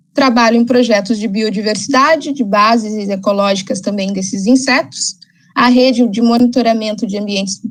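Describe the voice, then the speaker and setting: Her voice is somewhat breathy and fairly high, as this woman talks at a moderate pace with ordinary pitch variation. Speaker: ecologist and environmental consultant. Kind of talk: lecture.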